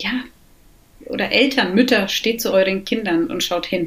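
Noticeable background noise runs under a woman's voice. She speaks at a medium pitch and a very slow pace, with ordinary pitch variation. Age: 40s. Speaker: recovering alcoholic, mother. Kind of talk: interview, personal testimony.

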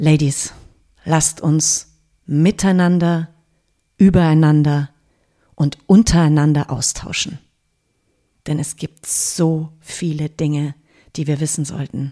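A woman speaks at a very slow pace with a very deep, low pitch, a dark, mellow tone and fairly even intonation. Long, frequent pauses break up her speech. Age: 50s. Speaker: podcast host. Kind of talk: podcast trailer monologue. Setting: at her kitchen table.

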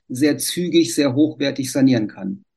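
At a moderate pace, a man speaks in a plain, everyday voice with a fairly high pitch. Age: 60s. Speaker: civil engineer, renovation association. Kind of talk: interview.

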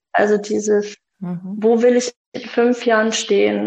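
Very slowly, a woman speaks with a monotone, flat intonation. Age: 40s. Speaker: mother of three, former partner of a toxic ex. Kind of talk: interview about personal experience. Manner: hesitant, many fillers.

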